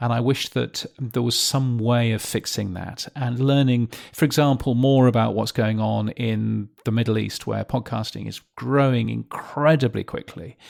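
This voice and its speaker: Recorded very cleanly against a silent background, a man with a British accent speaks at a moderate pace and medium pitch, his intonation fairly even and his delivery with hardly any pauses. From Britain. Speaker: podcast newsletter publisher. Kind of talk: interview. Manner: halting, many fillers.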